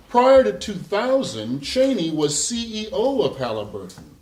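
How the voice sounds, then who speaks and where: Noticeable background noise sits under a man speaking at a fairly slow pace. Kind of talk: public speech on the military-industrial complex.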